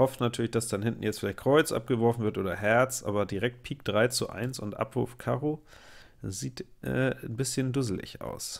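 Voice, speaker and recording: A man's medium-pitched voice with vocal fry, a moderate pace, and ordinary pitch variation, in a very clean recording with a silent background. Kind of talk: live gameplay commentary. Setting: at home. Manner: casual, chatty.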